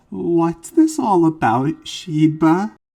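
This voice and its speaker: Using a put-on character voice, a woman speaks at a fairly low pitch. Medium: read story.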